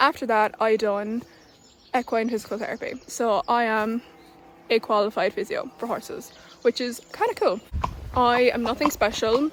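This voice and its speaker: Speaking with a southern Irish accent, a woman talks at a moderate pace in a fairly high pitch. Noticeable background noise runs under her voice. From southern Ireland. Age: 20s. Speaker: equestrian vlogger. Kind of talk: casual vlog.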